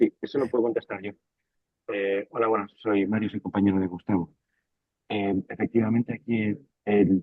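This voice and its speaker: A quiet man with fairly even intonation and long, frequent pauses. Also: fairly low pitch for a man, moderate pace. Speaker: tech company engineer, colleague of presenter. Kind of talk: technical Q&A answer. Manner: speaking quietly. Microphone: sounds very quiet and far away.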